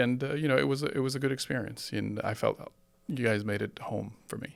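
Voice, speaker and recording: A man's voice with ordinary pitch variation. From Lebanon, moved to Florida at fourteen. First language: Arabic. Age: 50s. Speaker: real estate developer. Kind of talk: interview. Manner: halting, many fillers.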